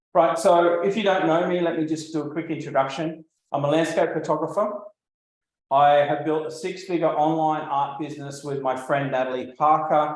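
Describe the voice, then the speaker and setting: Audible room echo surrounds a man with an Australian accent whose fairly high pitch moves with fairly even intonation. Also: moderate pace. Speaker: landscape photographer and art business coach. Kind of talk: live webinar presentation. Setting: livestream video call. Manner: casual, with frequent fillers.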